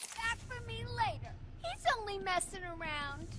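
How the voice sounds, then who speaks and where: Over loud background noise, someone performs a put-on character voice at a moderate pace. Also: female-sounding voice, extremely high pitch for a woman. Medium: video game. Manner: cheeky, playful.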